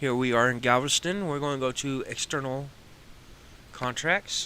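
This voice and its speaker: A man's bright, sharp, relaxed tone with a Texas accent, at a moderate pace. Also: medium pitch for a man, ordinary pitch variation. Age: 40s. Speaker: gaming streamer. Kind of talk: gameplay live stream commentary. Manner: casual, relaxed.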